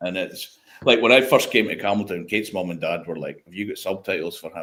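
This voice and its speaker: A man with a northeast Scottish accent. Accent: broad northeast Scottish. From Scotland, Speyside (Craigellachie). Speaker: whisky industry veteran and independent bottler. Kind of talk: casual chat.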